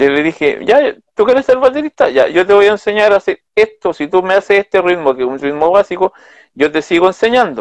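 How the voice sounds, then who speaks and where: In a Chilean accent, a man talks at a fairly quick pace with high pitch and very wide pitch swings, in a dry sound with no echo and a quiet background. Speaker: interviewee. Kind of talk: interview. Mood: earnest, reflective. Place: home room. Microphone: video call.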